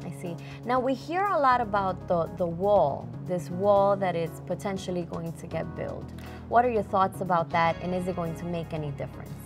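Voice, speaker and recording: A fairly low-pitched woman with lively intonation at a moderate pace, clear music in the background. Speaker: TV interviewer. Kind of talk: TV interview questions. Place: studio.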